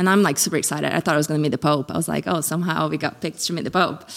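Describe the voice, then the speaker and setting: A woman's very deep, low voice with vocal fry and fairly even intonation. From Brazil. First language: Portuguese. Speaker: ministry development manager. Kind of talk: interview.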